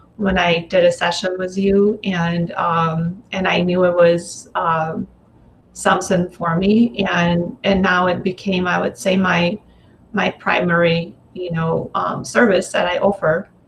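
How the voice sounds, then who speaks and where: A woman with a Russian accent, fairly low-pitched and somewhat breathy, at a fairly slow pace with fairly even intonation. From Russia, Moscow. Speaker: energy healer. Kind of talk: interview. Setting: live video stream.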